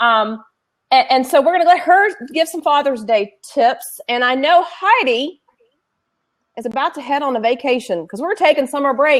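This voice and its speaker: A woman with a slight Southern accent speaks at a high pitch with lively intonation. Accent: slight southern drawl. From Tennessee. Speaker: co-host, education consultant. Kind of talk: casual chat.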